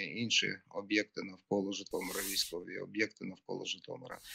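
The man's delivery keeps to a moderate pace. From Ukraine, Zhytomyr. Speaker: city mayor. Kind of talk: live remote interview. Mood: grave, serious. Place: home room. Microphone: video call.

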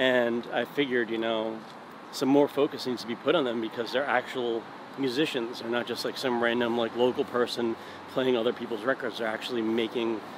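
Noticeable background noise surrounds a man speaking at a fairly quick pace in a monotone, flat voice, the sound dry with no echo. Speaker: interviewee. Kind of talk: interview answer. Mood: relaxed, friendly. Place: street. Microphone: phone near.

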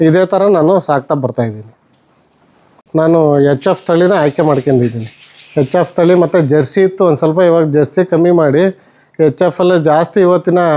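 A man's high-pitched voice has a dark, mellow tone. His loudness stays very even while his pitch varies in an ordinary way. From Hassan district, Karnataka, India. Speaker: dairy farmer. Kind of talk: farm tour explanation.

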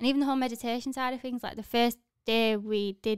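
A woman at a very fast pace, monotone and flat, with dry sound, no echo and a quiet background. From Leeds, northern England; northern England. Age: 20s. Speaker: fitness entrepreneur; podcast guest, fitness coach. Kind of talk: casual interview chat. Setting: studio. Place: studio. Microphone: studio mic.

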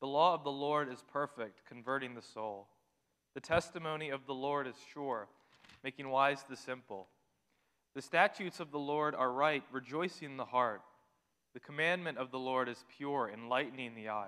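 A man's bright, sharp tone at a moderate pace with ordinary pitch variation, over a quiet background. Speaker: scripture reader. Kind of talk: scripture reading. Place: church. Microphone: podium.

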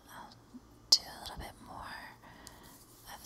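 Someone is whispering. The pace is very slow. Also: woman. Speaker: ASMR creator. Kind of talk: ASMR soft-spoken talk to camera with mic test. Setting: home recording, window open with leaf and wind noise in the background. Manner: soft-spoken, whispery. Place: home room. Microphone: studio mic.

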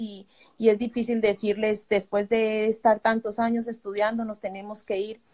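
A woman's fairly high-pitched voice with a dark, mellow tone, flat monotone intonation and a fairly slow pace, over a quiet background. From Colombia. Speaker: refugee. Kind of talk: testimony. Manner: halting. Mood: worried, grateful. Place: home room. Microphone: phone near.

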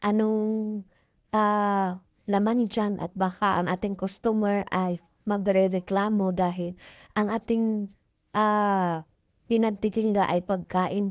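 A woman speaks very slowly at a medium pitch in a monotone, flat voice with a quiet background. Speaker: sari-sari store owner and vlogger. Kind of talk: casual vlog tutorial. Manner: halting, many fillers.

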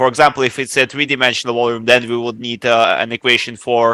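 The man's voice has a bright, sharp tone, recorded dry with no echo against a quiet background. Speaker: student; lecturer. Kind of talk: lecture Q&A. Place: classroom.

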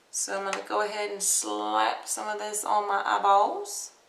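A woman talks at a fairly slow pace. Room echo is audible around her voice. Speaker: beauty vlogger. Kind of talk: casual makeup tutorial. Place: home room. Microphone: webcam.

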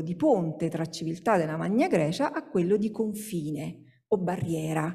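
A woman's voice against a quiet background. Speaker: sociologist, university researcher; speaker. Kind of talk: academic conference talk. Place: hall. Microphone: podium.

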